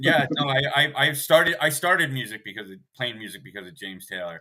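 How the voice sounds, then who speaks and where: A man's fairly high-pitched voice with vocal fry and a bright, sharp tone at a very fast pace. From US Northeast, Hudson Valley New York. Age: 60s. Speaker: musician. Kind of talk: interview. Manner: animated.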